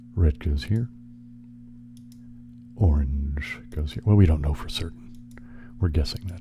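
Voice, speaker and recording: A soft-spoken, whispering man at a fairly slow pace, with long, frequent pauses and noticeable background noise. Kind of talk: ASMR relaxation video, casual talk while playing puzzle games. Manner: soft-spoken, whispered.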